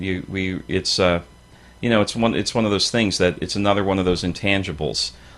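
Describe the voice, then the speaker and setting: Here is a man with a plain, everyday voice, fairly low in pitch and fairly quick. His intonation is fairly even, on a very clean recording with a silent background. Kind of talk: radio talk show guest conversation.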